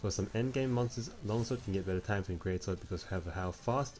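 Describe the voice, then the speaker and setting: This man has a fairly low pitch and a somewhat breathy voice. He talks at a fairly quick pace. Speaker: gaming video commentator. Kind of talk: explainer voiceover narration. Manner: sleepy, low-energy.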